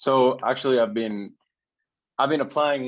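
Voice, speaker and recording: A man with a Spanish accent speaks at a moderate pace and medium pitch, with ordinary pitch variation. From Guatemala. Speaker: social media growth consultant. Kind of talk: casual interview.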